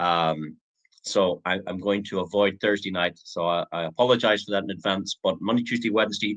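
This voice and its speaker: A man with a Northern Irish accent, fairly low in pitch, at a fairly quick pace. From Northern Ireland. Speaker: online business presenter. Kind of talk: sales pitch. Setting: live stream. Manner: hesitant, many fillers.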